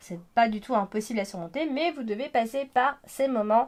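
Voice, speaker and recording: This woman has a fairly high voice and lively intonation. The recording is very clean, with a silent background. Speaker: astrologer and tarot reader. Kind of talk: horoscope reading. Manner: hesitant with many fillers.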